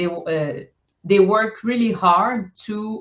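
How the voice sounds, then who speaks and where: Speech in a French accent moves at a fairly slow pace with ordinary pitch variation. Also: woman. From Quebec, island in the St. Lawrence. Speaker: novelist. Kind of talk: interview. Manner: halting, many fillers and repetitions.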